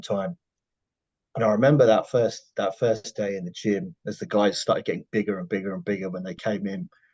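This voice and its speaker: This man has a medium pitch and lively intonation at a fairly quick pace. The sound is dry and close with no echo, and the background is quiet. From UK. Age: 40s. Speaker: professional bodybuilder. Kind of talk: podcast interview.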